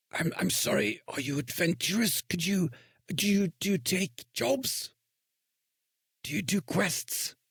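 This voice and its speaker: A raspy, put-on character voice sits at a middle pitch. It moves at a fairly slow pace with long, frequent pauses. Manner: nervous, hesitant, stammering.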